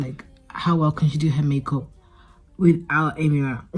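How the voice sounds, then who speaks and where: A woman mumbles with fairly even intonation at a very deep, low pitch. Music plays in the background. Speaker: vlogger. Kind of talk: casual vlog talk to camera. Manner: mumbling.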